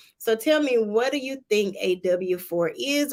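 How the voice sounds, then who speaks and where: In a Southern US accent, a woman speaks with lively intonation. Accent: Southern US (Georgia). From Georgia, US South. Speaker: tax preparer. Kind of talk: livestream tutorial. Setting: livestream from office.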